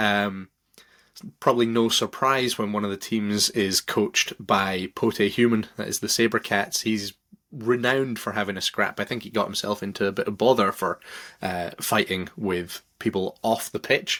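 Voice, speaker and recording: On a very clean recording with a silent background, a man with a Scottish accent speaks at a moderate pace in a fairly low pitch, with a bright, sharp tone and fairly even intonation. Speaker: rugby podcast host. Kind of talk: sports podcast recap. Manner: casual, with fillers and repetitions.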